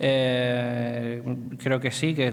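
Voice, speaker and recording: The man's voice sits at a medium pitch, with audible room echo and noticeable background noise. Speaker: presenter on social economy. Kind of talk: lecture. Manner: slowed down deliberately; hesitant, many fillers.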